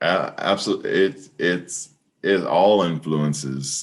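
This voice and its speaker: At a fairly slow pace, a man speaks with a very deep, low pitch and ordinary pitch variation. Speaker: PA announcer. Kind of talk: interview answer. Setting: video call.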